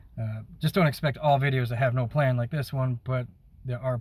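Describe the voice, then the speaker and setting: Fairly quick and somewhat breathy, a man speaks. His tone is dark and mellow. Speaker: YouTuber and music maker. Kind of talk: casual vlog talk to camera. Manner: unscripted, hesitant with fillers.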